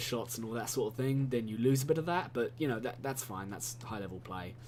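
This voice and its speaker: Here a man speaks with ordinary pitch variation. Room echo is audible around him. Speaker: gaming video commentator. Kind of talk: gameplay commentary monologue. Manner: halting, many fillers and repetitions.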